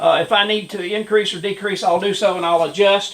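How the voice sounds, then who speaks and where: Fairly even intonation over noticeable background noise. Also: man. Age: 70s. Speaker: retired Marine doing hobby auto painting. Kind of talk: tutorial. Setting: home workshop. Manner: hesitant, many filler words.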